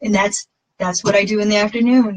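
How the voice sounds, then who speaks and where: A woman's medium-pitched, somewhat breathy voice with an American accent. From Massachusetts, US. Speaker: fitness coach. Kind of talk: casual livestream talk. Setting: Facebook live video. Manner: fast; animated.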